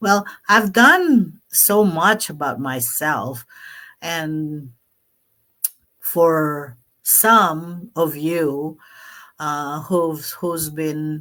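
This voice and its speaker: In a Filipino accent, a woman speaks at a very slow pace with long, frequent pauses, her very deep, low voice bright and sharp in tone, on a very clean recording with a silent background. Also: ordinary pitch variation. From Philippines (Pampanga). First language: Kapampangan. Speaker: online business vlogger. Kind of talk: live stream talk. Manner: halting, many fillers.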